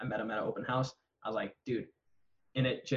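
Speaking at a very fast pace, a man with a medium-pitched, somewhat breathy voice talks with an American accent. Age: 20s. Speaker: real estate agent. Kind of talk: casual chat.

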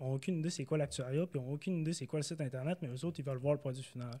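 Speaking with a Quebec accent, a man has a fairly high pitch, a dark, mellow tone, a somewhat breathy quality and ordinary pitch variation. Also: very clean recording, silent background. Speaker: data scientist, former actuary. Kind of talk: casual interview. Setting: recorded in Montreal.

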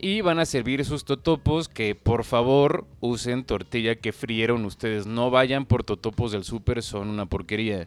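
Using a normal speaking voice, a man talks at a fairly slow pace with hardly any pauses, a medium pitch and ordinary pitch variation. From Mexico. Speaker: podcast co-host. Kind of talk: casual chat.

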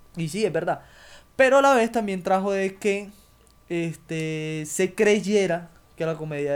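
The speaker is a man with lively intonation. He talks at a fairly slow pace. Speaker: podcast host. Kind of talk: casual chat.

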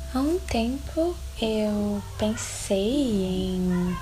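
Noticeable background noise and audible room echo accompany this woman's voice. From Brazil, Belo Horizonte (Minas Gerais). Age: 20s. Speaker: podcast host, fashion design student. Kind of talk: solo podcast monologue, casual. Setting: at home. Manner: chatty, frequent laughs.

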